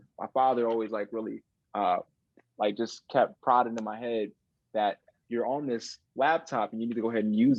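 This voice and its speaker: In a plain, everyday voice, a man with a medium pitch and an American accent talks at a fairly quick pace with fairly even intonation. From Chicago area, Illinois (north of the city). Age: 20s. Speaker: illusionist. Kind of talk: interview.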